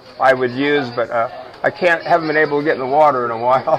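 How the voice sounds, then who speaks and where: Very fast speech from a man with a fairly high pitch and fairly even intonation, amid noticeable background noise. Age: 60s. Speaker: restaurant owner. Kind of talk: casual chat.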